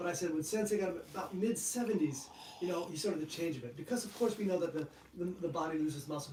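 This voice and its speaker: A man talking at a very fast pace, ordinary pitch variation, noticeable background noise behind him. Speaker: martial arts instructor and channel host. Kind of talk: live stream chat.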